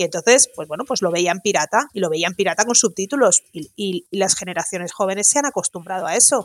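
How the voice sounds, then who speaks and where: At a fairly quick pace with hardly any pauses, a woman with a medium-pitched voice and ordinary pitch variation sounds dry and close with no echo, on a very clean recording with a silent background. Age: 40s. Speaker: audiovisual translator. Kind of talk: casual interview chat.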